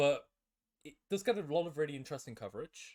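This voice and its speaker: A man with a British accent on a very clean recording against a silent background. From UK. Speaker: competitive Pokemon player. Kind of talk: casual discussion.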